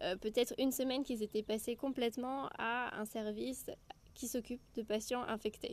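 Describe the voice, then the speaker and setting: Intonation stays fairly even as the speech goes at a moderate speed. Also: woman. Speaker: medical student podcaster. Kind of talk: casual solo podcast monologue. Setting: outdoors.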